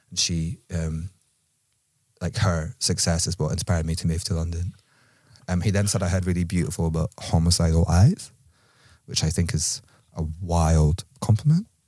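On a very clean recording with a silent background, a man with a Scottish accent speaks fairly quickly at a very deep, low pitch, his tone dark and mellow and his intonation fairly even. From Scotland. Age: 30s. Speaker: collective member, podcast guest. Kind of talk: casual chat.

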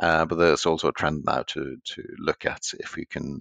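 This man's very deep, low voice sounds dry and close, with no echo. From Norway. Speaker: renewables business executive. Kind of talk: podcast interview.

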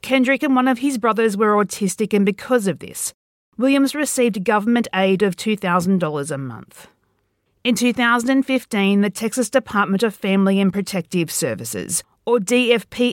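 With an ordinary speaking voice, a woman talks at a moderate pace and with lively intonation, the sound dry and close with no echo. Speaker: podcast host and writer. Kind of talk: true-crime narration, scripted and read aloud. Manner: grave, measured, steady, serious tone; formal, even delivery.

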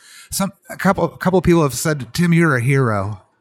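A man with a plain, everyday voice, ordinary pitch variation and a fairly quick pace. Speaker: traveler and family caregiver. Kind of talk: interview. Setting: hotel lobby.

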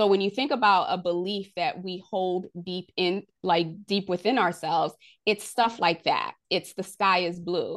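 A woman's medium-pitched, unremarkable speaking voice, fairly slow and with fairly even intonation, over a quiet background. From US, immigrant from Haiti at age three. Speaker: leadership strategist and author. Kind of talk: podcast interview.

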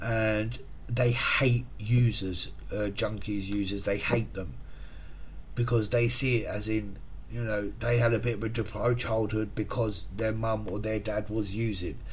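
A somewhat breathy voice speaks in a monotone, flat intonation with audible room echo. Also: man, fairly low pitch for a man, fairly slow pace. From England, Hertfordshire (St Albans). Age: 40s. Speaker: podcast host recounting addiction recovery. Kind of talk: personal testimony monologue. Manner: hesitant, with frequent fillers and repetitions.

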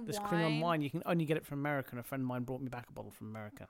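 Speaking very fast in a British accent, a man keeps his pitch fairly high. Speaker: podcast guest.

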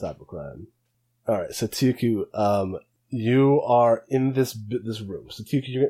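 A natural voice reads aloud with ordinary pitch movement, the background quiet.

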